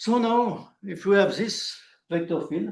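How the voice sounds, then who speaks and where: Vocal fry runs through a man's speech in a French accent. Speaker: mathematician. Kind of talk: lecture. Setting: conference talk with audience. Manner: halting.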